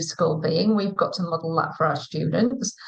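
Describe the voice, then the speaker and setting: Over noticeable background noise, a woman talks at medium pitch and a moderate pace with ordinary pitch variation. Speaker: school teaching director. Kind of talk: live interview. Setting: online live stream.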